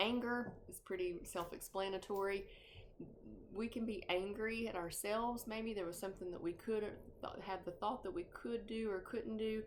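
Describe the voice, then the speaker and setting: In a room with audible echo, a woman talks at a moderate pace. Her pitch is fairly high, with ordinary variation. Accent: North Georgia. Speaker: grief support group facilitator. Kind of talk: informal talk on grief. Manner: halting, many fillers.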